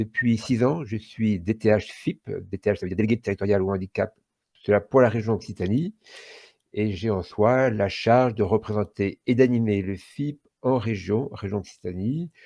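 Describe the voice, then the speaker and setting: Against a quiet background, a man with a dark, mellow tone and fairly low pitch speaks at a fairly slow pace in a dry, close sound with no echo. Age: 60s. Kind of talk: podcast interview. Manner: hesitant, many fillers.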